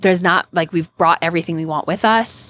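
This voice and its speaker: A woman with an unremarkable speaking voice and a fairly low pitch talks with ordinary pitch variation in a dry, close sound with no echo. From Canada. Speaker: podcast co-host, personal finance community organizer. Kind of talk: casual chat.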